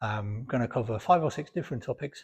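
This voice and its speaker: Against a quiet background, a man speaks at a fairly quick pace in a somewhat breathy voice. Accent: British. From Britain. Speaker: fitness video creator. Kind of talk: informal talk to camera. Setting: home gym. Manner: varying pace, sometimes quiet; halting, repeats words.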